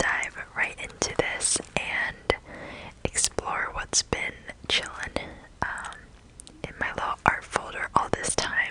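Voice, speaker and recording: Very slow whispering from a woman, with noticeable background noise behind it. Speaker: ASMR content creator. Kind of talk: ASMR whispered show and tell. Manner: whispered, soft-spoken, rambling.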